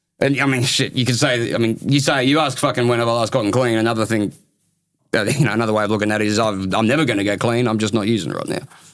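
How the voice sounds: A man with a strong Australian accent at a medium pitch, a very fast pace and fairly even intonation. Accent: broad Australian.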